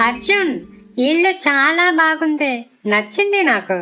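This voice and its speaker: A cartoonish character voice, female-sounding and high-pitched, at a very slow pace over faint background music. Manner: soft, clinging.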